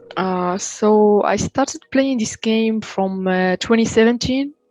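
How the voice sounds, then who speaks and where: A woman's fairly high voice at a very slow pace, with ordinary pitch variation, dry and close with no echo, and music in the background. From Morocco, Casablanca. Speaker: esports player, streamer. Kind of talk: interview. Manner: halting, hesitant.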